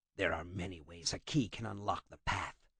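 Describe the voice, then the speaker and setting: A man's put-on character voice, growling at a very deep, low pitch, fairly quick, with big swings in loudness. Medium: read story. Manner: terse, grim.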